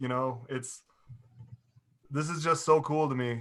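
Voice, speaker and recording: A man speaks loudly in a fairly high voice, his intonation fairly even. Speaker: car owner. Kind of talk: casual chat.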